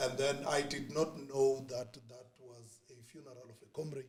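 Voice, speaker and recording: Somewhat breathy and medium in pitch, a man's voice moves at a fairly slow pace with monotone, flat intonation. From South Africa, township in Springs, Gauteng. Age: 40s. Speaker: former youth political activist. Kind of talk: podcast interview. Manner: hesitant, many fillers and repetitions.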